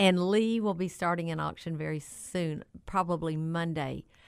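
In an unremarkable speaking voice, a woman talks at a fairly slow pace with a fairly low pitch and fairly even intonation. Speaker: auctioneer. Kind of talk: casual radio talk show.

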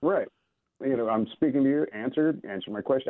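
A plain, everyday voice at a fairly quick pace with ordinary pitch variation. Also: man. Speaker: caller. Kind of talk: casual chat. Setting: phone call.

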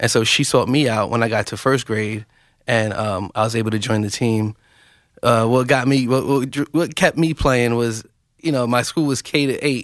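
On a very clean recording with a silent background, a man speaks at medium pitch and moderate pace with ordinary pitch variation. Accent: New York. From New York, West Bronx. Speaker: chess nonprofit co-founder. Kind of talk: radio interview.

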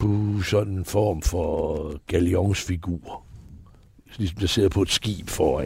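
A man speaks in a dark, mellow tone. His voice is somewhat breathy. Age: 70s. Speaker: entertainer. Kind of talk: interview. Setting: outdoors on a terrace.

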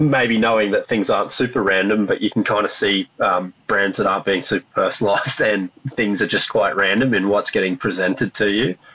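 With an Australian accent, a man speaks at a fairly low pitch and fairly even intonation. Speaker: podcast host. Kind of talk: interview.

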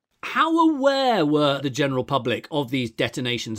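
This is a man speaking. He has an English accent. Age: 50s. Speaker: podcast host. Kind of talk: interview.

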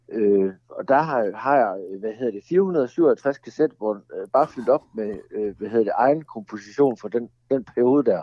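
A man's medium-pitched voice with ordinary pitch variation at a fairly slow pace. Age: 40s. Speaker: songwriter. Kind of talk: casual chat. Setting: phone call.

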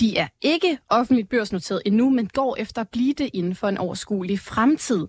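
A woman's fairly high, somewhat breathy voice with lively intonation, a moderate pace and hardly any pauses, in a dry, close sound with no echo. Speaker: podcast host. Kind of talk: radio-style interview intro. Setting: studio.

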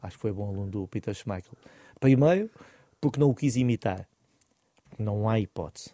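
A man's fairly low voice with a dark, mellow tone and ordinary pitch variation, at a fairly quick pace with long, frequent pauses, in a very clean recording with a silent background and a dry, close sound with no echo. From Portugal, Oeste region. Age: 40s. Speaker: former football goalkeeper, goalkeeping coach. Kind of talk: interview.

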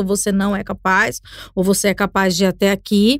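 A woman speaks at a fairly slow pace. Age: 30s. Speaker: podcaster and communicator. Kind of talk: casual chat. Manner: halting, repeats words.

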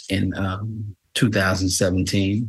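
A man speaks with a New York accent. His fairly low voice stays monotone and flat. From New York City, Queens. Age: 50s. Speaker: exoneree, former prisoner. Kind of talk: interview.

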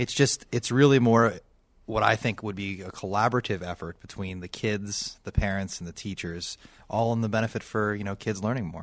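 Fairly quick, fairly low, and fairly even in intonation, a man in a normal speaking voice with an American accent, big swings in loudness, on a very clean recording with a silent background. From Pittsburgh area, Pennsylvania (Bethel Park). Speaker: elementary school principal. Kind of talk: radio interview.

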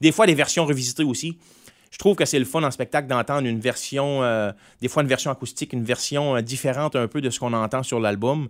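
A man's very fast speech at a medium pitch, with ordinary pitch variation, in a very clean recording with a silent background. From Quebec, Gaspésie (Grande-Rivière). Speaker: singer-songwriter. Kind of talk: casual interview.

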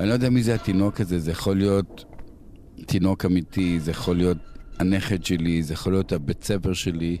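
A man's very deep, low voice at a fairly quick pace, with fairly even intonation and very even loudness. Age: 60s. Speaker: musician. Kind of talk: personal storytelling.

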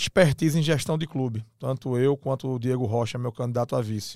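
On a very clean recording with a silent background and a dry, close sound without echo, a man speaks in a dark, mellow tone with ordinary pitch variation. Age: 40s. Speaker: club presidential candidate and lawyer. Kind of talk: interview.

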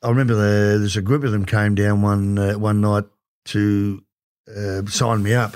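With an Australian accent, a man speaks at a moderate pace and a fairly low pitch in a monotone, flat intonation, captured in a very clean recording with a silent background. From Werribee, Victoria, Australia. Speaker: former footballer. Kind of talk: casual interview chat.

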